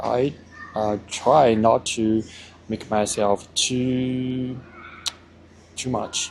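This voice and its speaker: A man with a Chinese accent, fairly even intonation, and noticeable background noise. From China. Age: 40s. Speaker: vlogger. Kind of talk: casual vlog monologue. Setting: outdoors by parked cars. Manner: halting, many fillers.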